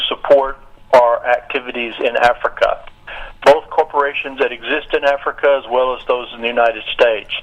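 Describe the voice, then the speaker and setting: Noticeable background noise runs throughout. Through it comes the voice of a man. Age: 60s. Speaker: nonprofit director and businessman. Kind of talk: radio interview.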